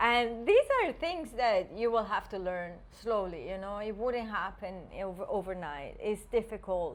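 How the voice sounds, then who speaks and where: A woman with a non-native accent, a fairly high voice, lively intonation and a fairly slow pace. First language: not English. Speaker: podcast co-host. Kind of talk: casual chat.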